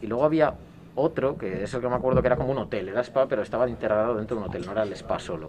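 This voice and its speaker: This man's voice is medium in pitch. Behind him, background noise is noticeable. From Spain, Castile (Salamanca/Valladolid). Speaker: former exchange student. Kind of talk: casual chat.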